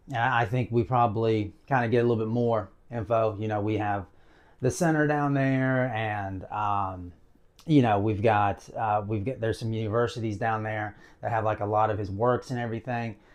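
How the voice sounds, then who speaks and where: A man speaks with a Southern US accent and fairly even intonation. The background is quiet. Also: medium pitch for a man, moderate pace. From US South. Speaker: video blogger. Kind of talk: casual monologue to camera. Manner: casual, with many fillers.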